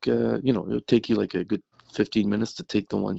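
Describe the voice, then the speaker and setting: A man talks with a Franco-Ontarian accent. His pace is very fast. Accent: Franco-Ontarian Canadian English. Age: 50s. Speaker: graphic designer. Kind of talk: interview. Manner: halting.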